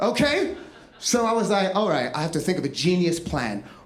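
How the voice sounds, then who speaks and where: The speech moves at a fairly quick pace. Noticeable background noise and audible room echo fill the recording. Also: man. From London, England. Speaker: comedian and storyteller. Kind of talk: stand-up storytelling. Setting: stage with audience. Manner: animated, chatty.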